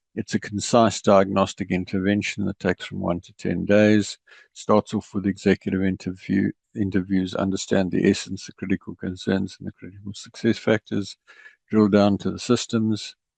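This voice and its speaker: In a dry, close sound with no echo, a man with a South African accent speaks at a moderate pace and a fairly low pitch, his intonation monotone and flat while his loudness swings widely. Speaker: ERP consultant. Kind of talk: presentation.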